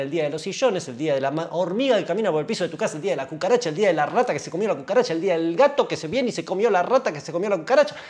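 A man's high-pitched voice, very fast and lively, with hardly any pauses. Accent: Rioplatense. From Argentina. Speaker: gear channel host. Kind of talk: stand-up comedy rant. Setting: live stream. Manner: sarcastic, rambling. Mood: sarcastic, exasperated. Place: studio.

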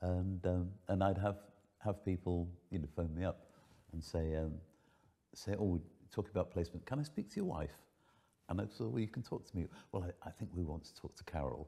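A man with a very deep, low pitch and a dark, mellow tone speaks at a fairly quick pace, showing ordinary pitch variation and long, frequent pauses. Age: 70s. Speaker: foster carer. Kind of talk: casual chat. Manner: halting. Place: home room.

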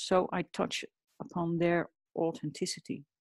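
The pace here is fairly slow. It is a woman, and she has a Dutch accent. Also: dry, close sound with no echo, quiet background. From Netherlands. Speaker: portrait artist. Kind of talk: interview.

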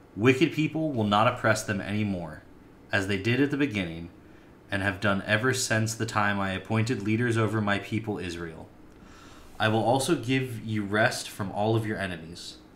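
Light background noise sits behind a man with a fairly low pitch. He talks at a moderate pace with ordinary pitch variation. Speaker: preacher or Bible teacher. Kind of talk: sermon. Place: home room. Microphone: webcam.

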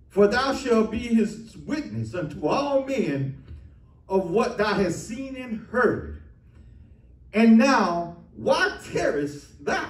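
Amid audible room echo, a man talks at a very slow pace, his pitch swinging very widely. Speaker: preacher. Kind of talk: sermon scripture reading. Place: church.

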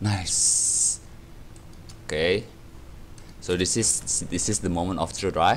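A man speaks very slowly in a very deep, low voice, leaving long, frequent pauses. His intonation is lively, his loudness very even, with light background noise. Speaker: gaming YouTuber. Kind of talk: gameplay commentary. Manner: animated; rambling, filler-heavy. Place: home room.

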